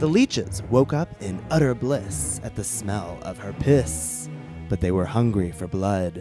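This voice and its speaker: Music plays in the background. A man talks at a fairly slow pace. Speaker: drag performer. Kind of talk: comic ghost story told on stage.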